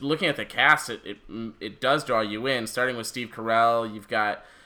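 A man's medium-pitched voice with a bright, sharp tone and ordinary pitch variation. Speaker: podcast host. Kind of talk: casual chat. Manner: animated.

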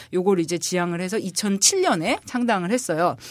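This woman talks at a moderate pace. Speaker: political columnist, former legislative aide. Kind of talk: casual political discussion. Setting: studio.

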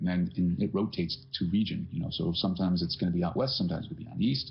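Very fast and very deep, a man's low-pitched voice comes through with vocal fry. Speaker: bagpipe podcast co-host. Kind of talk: casual chat. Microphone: too quiet, cheap laptop mic.

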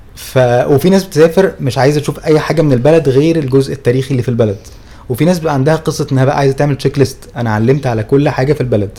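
A man speaks very fast at a fairly high pitch, with ordinary pitch variation. Noticeable background noise runs underneath. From Egypt. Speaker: travel podcast co-host. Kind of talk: casual chat. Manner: loud.

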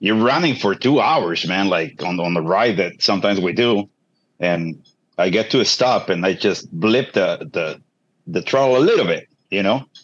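A man with an unremarkable speaking voice and fairly low pitch talks at a moderate pace. His intonation is lively. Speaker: motorcyclist asking a question. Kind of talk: casual chat. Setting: video call.

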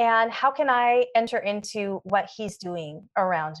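A woman with an unremarkable speaking voice talks at a fairly slow pace in a fairly high pitch against a quiet background. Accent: General American. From US Pacific Northwest (Oregon, Washington). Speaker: school board member. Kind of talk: interview. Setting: studio.

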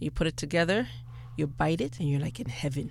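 A woman speaks at a fairly quick pace with a slight Bajan accent. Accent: slight Caribbean (Bajan) accent comes out. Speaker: personal chef and caterer. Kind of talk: radio interview. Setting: radio studio.

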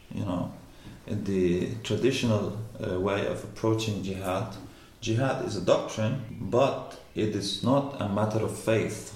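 Noticeable background noise sits behind a man speaking at a fairly slow pace in an Arabic accent. His voice is fairly low in pitch, with fairly even intonation. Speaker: postdoctoral researcher in Islamic studies. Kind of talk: casual academic discussion. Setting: around a table during a coffee break.

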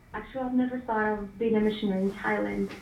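A woman speaks over noticeable background noise. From Ukraine. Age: young. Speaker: missionary. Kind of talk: interview. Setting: phone call.

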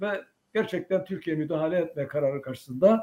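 Male voice with lively intonation at a moderate pace. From Cyprus (Turkish Cypriot). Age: 80s+. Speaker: veterans' association head. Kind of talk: interview testimony.

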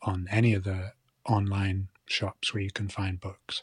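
On a very clean, dry and close recording with a silent background and no echo, a man with a Shetland accent speaks at a fairly slow pace in a somewhat breathy voice. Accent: Shetland Scottish. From Scotland, Shetland (Lerwick). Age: 40s. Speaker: author and fly fisher. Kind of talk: interview. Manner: halting, repeats words.

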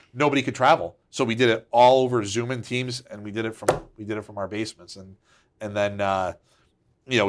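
A man with an American accent, talking at a very fast pace. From Connecticut, Waterbury. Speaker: business executive. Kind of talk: interview. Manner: conversational with frequent fillers and repetitions.

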